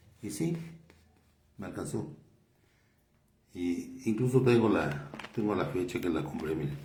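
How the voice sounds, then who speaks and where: This man's pitch swings very widely at a fairly slow pace, with long, frequent pauses. Audible room echo surrounds him. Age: 70s. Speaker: lay preacher and doctor. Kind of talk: sermon. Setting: doctor's office. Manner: halting.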